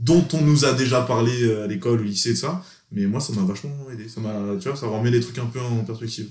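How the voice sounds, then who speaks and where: In a room with audible echo, a man talks fairly quickly at medium pitch, his somewhat breathy voice showing ordinary pitch variation. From France, Grenoble. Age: 20s. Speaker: exchange student. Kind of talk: casual chat.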